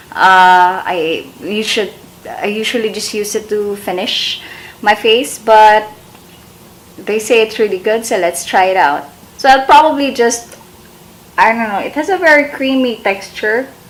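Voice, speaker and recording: With noticeable background noise behind her, a woman speaks at a fairly slow pace and a fairly high pitch, using lively intonation and long, frequent pauses. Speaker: beauty vlogger. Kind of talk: makeup tutorial. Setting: bedroom. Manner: slurred.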